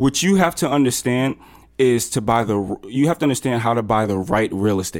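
A man with an American accent and an unremarkable speaking voice, medium in pitch, with lively intonation at a fairly quick pace. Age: 20s. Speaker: entrepreneur, app founder. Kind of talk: interview. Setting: hotel room.

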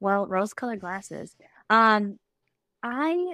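Fairly slow delivery in a bright, sharp tone, with a dry, close sound with no echo and a very clean recording over a silent background. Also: woman. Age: 30s. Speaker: podcast guest. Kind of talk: casual chat.

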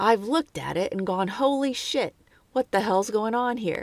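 A raspy, female-sounding put-on character voice, fairly high in pitch, at a moderate pace. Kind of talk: surprised, exclaiming. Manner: exaggerated, mock imitation.

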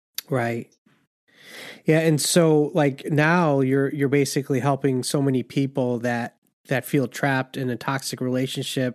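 With a plain, everyday voice, a man talks at a fairly slow pace and fairly high pitch, his intonation fairly even and the sound dry and close with no echo against a quiet background. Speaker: podcast host. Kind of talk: casual interview.

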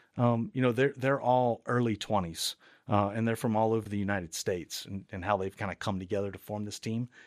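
A man's normal speaking voice, medium-pitched and fairly quick, with fairly even intonation, a dry, close sound with no echo, and a very clean recording over a silent background. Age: 40s. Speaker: university technology administrator. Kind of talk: interview.

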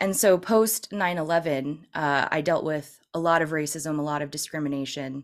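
A woman's very deep, low voice in an American accent, with ordinary pitch variation. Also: very clean recording, silent background. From California, San Francisco area. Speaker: political commentator. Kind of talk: interview.

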